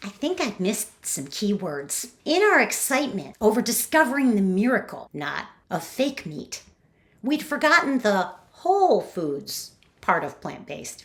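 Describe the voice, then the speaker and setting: A fairly slow pace with vocal fry, very wide pitch swings and big swings in loudness. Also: woman, fairly high pitch for a woman. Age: 60s. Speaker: romance and thriller novelist. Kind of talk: reading aloud.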